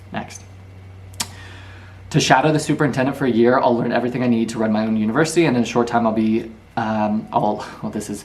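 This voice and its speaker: Speaking at a very fast pace with long, frequent pauses, the voice keeps a fairly even intonation against audible room echo. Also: man, medium pitch for a man. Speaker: YouTuber teaching book lessons. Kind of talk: lecture.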